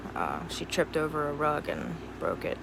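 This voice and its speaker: A woman speaks with an American accent. There is audible room echo and noticeable background noise. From US Mid-Atlantic, Cumberland, Maryland. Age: 20s. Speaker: vlogger. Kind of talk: casual personal vlog monologue.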